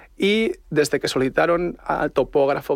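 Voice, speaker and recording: The man's voice shows ordinary pitch variation. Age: young. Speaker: tech startup operations director. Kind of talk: radio interview.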